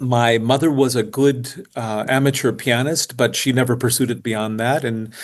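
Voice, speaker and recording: A man with a Midwestern American accent speaks at a medium pitch and moderate pace. His intonation is fairly even, with hardly any pauses. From US Midwest, north central Iowa. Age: 70s. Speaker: percussionist and educator. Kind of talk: casual interview chat.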